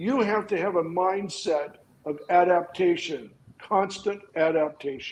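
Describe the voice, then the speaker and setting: Noticeable background noise sits behind the voice. A man speaks with a high pitch. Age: 70s. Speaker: film and TV lighting technician. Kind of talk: casual chat.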